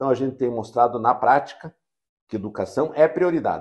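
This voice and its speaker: Against a quiet background, a man's words come at a very fast pace. His pitch shows ordinary variation. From União da Vitória, Paraná, southern Brazil; Paraná, Brazil. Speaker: mayor. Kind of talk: interview. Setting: university campus. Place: studio. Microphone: lapel.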